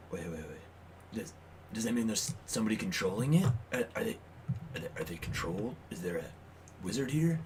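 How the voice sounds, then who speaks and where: A raspy, put-on character voice moves at a moderate pace with very wide pitch swings. Long, frequent pauses break it up over clear background noise. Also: man, medium pitch for a man. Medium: actual play. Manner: deadpan, curt.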